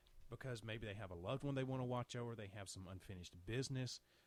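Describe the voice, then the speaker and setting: A man with an American accent talks at a very fast pace, his pitch medium and its variation ordinary. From Alabama, US Deep South. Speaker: paranormal radio co-host. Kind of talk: interview. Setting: radio show.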